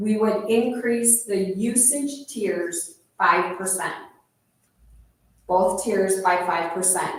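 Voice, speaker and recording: With audible room echo, a woman speaks at a medium pitch and a very slow pace, using ordinary pitch variation and long, frequent pauses. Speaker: city official presenting finances to council. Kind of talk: council meeting presentation. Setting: city council meeting.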